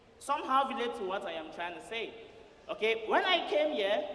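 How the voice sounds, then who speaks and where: A man's extremely high, raised and projected voice, animated in tone with very wide pitch swings at a moderate pace, amid noticeable background noise and audible room echo. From Nigeria. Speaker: student comedian. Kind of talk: stand-up. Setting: stage with audience.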